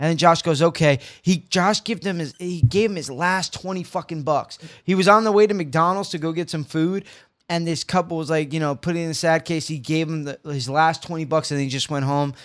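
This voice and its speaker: Speaking at a fairly quick pace, a man uses an unremarkable speaking voice. His pitch is fairly high, with ordinary pitch variation. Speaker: podcast co-host. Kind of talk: casual banter comedy chat. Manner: joking, profane, teasing.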